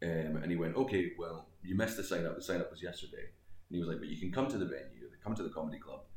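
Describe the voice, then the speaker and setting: A man's very deep, low voice in a West Coast Scottish accent, somewhat breathy, at a very fast pace with ordinary pitch variation. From Scotland; Greenock, west coast of Scotland. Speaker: comedian. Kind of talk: casual interview chat. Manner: joking, self-deprecating.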